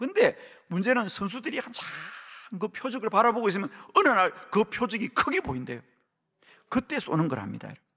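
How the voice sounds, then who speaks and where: A man with a Gyeongsang accent speaks in a raised, projected, bright and sharp voice at a high pitch, moving at a fairly quick pace with lively intonation and long, frequent pauses. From Gyeongsang region, Korea. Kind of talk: sermon, preaching.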